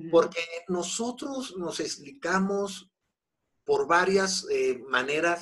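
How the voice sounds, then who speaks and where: Very slow speech from a man with a high pitch and lively intonation. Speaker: Buddhism teacher. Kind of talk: interview.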